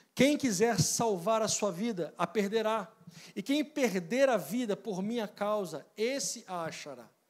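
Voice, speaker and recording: Against a quiet background, a man with a high voice speaks fairly slowly and with lively intonation. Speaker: preacher. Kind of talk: sermon. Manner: didactic, earnest. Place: church. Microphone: handheld.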